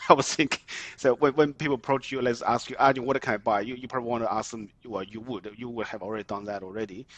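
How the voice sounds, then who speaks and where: Speaking at a very fast pace with a non-native accent, a man keeps a medium pitch with ordinary pitch variation while his loudness swings widely, the sound dry and close with no echo. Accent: noticeable foreign. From migrant to Australia, came as adult. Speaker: mortgage broker and property investor. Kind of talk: podcast interview. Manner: halting, frequent repetitions and fillers.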